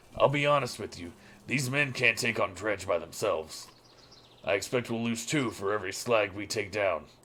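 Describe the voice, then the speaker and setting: Putting on a raspy character voice, a man speaks at medium pitch and a moderate pace. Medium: actual play. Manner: blunt, gruff.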